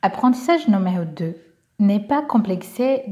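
The voice belongs to a woman speaking at medium pitch. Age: 20s. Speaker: social entrepreneur. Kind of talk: testimony. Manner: hesitant, many fillers.

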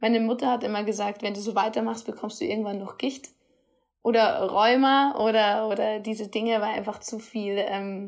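A woman's plain, everyday voice, fairly high in pitch with fairly even intonation at a moderate pace, on a very clean recording with a silent background. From Bavaria, Rosenheim. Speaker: dietitian and nutrition therapist podcaster. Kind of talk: solo podcast monologue.

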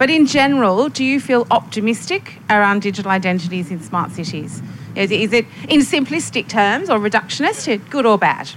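With noticeable background noise behind her, a woman talks at a fairly quick pace with lively intonation. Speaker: futurist and panelist, workshop facilitator. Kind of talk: panel discussion and facilitation. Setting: stage with audience.

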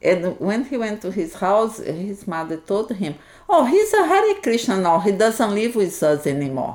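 A woman speaks with a Portuguese accent at a medium pitch. Her pitch swings very widely. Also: moderate pace. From Brazil, Minas Gerais. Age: 60s. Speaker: Hare Krishna devotee. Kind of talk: interview.

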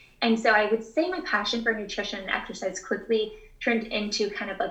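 With an American accent, a woman in an unremarkable speaking voice talks at a fairly quick pace and a fairly high pitch. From Texas (Houston). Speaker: dietitian. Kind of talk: interview answers.

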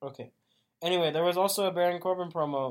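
A man with a plain, everyday voice and fairly even intonation. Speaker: wrestling podcast co-host. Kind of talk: casual chat.

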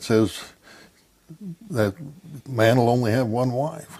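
A man with an American accent talks at a fairly slow pace in a medium-pitched voice with ordinary pitch variation. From Idaho. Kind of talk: interview testimony. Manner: halting.

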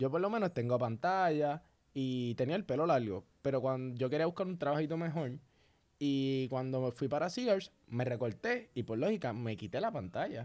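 Over a quiet background, a man speaks at a moderate pace with a fairly high pitch. His pitch swings very widely. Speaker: podcast co-host. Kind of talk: casual chat. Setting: studio.

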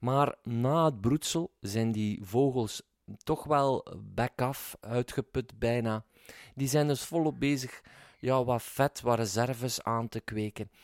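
In a very clean recording with a silent background and a dry, close sound with no echo, a man at medium pitch talks at a very slow pace. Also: ordinary pitch variation. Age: 40s. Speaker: podcast host. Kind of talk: podcast intro monologue; interview. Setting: garden.

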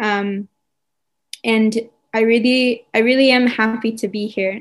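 A woman with a New York accent, fairly high in pitch, with monotone, flat intonation. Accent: American, New York. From US, New York. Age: 20s. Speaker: soldier. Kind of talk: interview. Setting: video call.

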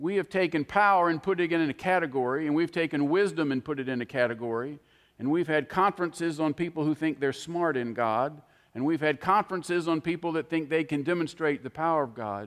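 A man's ordinary speaking voice, fairly high in pitch with ordinary pitch variation, at a fairly quick pace. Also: quiet background. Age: 60s. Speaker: preacher. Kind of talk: sermon. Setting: church.

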